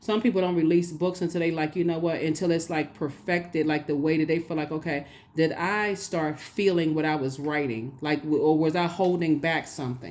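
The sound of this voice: A woman speaks at a moderate pace with a low pitch, ordinary pitch variation and a slightly mellow tone.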